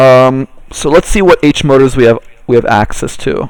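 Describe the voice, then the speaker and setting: This man has a normal speaking voice at a medium pitch and talks at a moderate pace. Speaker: workshop instructor. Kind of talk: tutorial.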